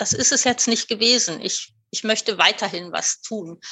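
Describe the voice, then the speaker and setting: A woman talks at a fairly slow pace in an ordinary speaking voice. Her pitch is fairly high. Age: 50s. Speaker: volunteer aid organisation founder. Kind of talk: interview.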